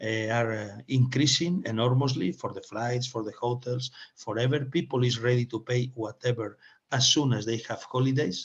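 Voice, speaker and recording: A man with a Spanish accent talks at a moderate pace in a somewhat breathy voice, his medium pitch held in fairly even intonation. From Spain. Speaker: webinar moderator and speaker. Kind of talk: webinar presentation. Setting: online webinar. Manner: halting, many fillers and restarts.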